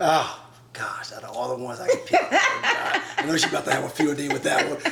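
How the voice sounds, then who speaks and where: Over noticeable background noise, a man with an American accent talks at a very fast pace with big swings in loudness. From Chicago. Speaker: relationship talk show host. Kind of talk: casual interview.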